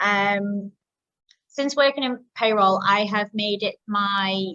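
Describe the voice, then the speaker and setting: Her intonation fairly even, a woman speaks with a British accent. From UK. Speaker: marketing coordinator and community host. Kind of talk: webinar presentation. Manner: hesitant, many filler ums.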